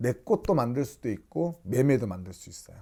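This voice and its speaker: In a very clean recording with a silent background, a man speaks in a dark, mellow tone with very wide pitch swings. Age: young. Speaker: shaman fortune teller. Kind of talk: fortune-telling talk to camera. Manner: casual, conversational.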